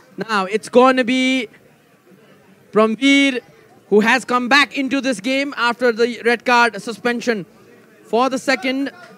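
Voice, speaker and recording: A man projects his voice at an extremely high pitch. He speaks fairly slowly, with long, frequent pauses. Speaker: football commentator. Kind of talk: live sports commentary on a penalty shootout. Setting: stadium broadcast. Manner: excited, emphatic on the decisive result.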